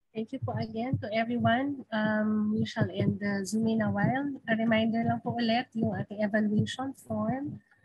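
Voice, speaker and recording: With light background noise and a dry sound with no echo, the speaker keeps a moderate pace with hardly any pauses. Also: woman. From Philippines. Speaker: webinar emcee. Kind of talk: event emceeing. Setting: video call. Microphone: video call.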